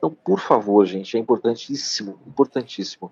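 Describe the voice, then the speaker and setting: A man talks at a fairly quick pace. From Piauí, Brazilian Northeast. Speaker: doctor. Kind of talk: live-stream interview. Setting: live stream.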